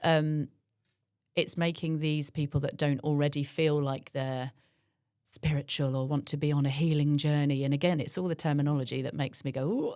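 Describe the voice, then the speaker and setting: On a very clean recording with a silent background, a woman speaks at a moderate pace in a very deep, low monotone. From eastern England, Cambridgeshire (Willingham). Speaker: personal trainer and breathwork facilitator. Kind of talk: casual interview chat. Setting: studio. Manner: loud.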